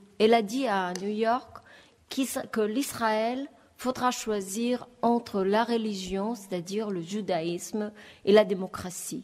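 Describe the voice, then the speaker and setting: A woman with a fairly high pitch and fairly even intonation, speaking at a very slow pace. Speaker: panelist. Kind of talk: panel talk. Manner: halting.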